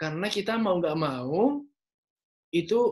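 Against a quiet background, a man is talking. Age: young. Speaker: young entrepreneur; presenter. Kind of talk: online seminar talk. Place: home room. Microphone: video call.

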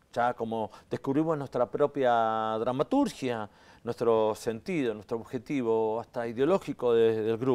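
With fairly even intonation, a man talks at a very slow pace and a medium pitch. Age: 60s. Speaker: actor and theatre director; stage actor, interviewee. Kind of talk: interview. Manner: hesitant, many fillers. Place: studio. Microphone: lapel.

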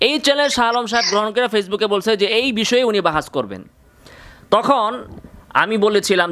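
Animated and bright, a man's voice comes across with a sharp tone. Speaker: Islamic scholar taking calls. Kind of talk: phone-in religious discussion.

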